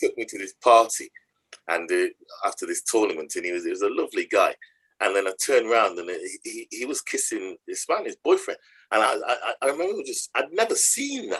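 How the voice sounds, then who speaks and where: With a Nottingham accent, a man talks at a fairly quick pace in a dry, close sound with no echo. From Nottingham, England. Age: 60s. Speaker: charity chief executive. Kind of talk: interview conversation. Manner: halting, repetitive.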